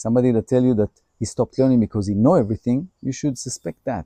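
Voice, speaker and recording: A man speaks in an Israeli accent. His medium-pitched voice has a dark, mellow tone. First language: Hebrew. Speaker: holistic healer. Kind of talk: personal introduction monologue.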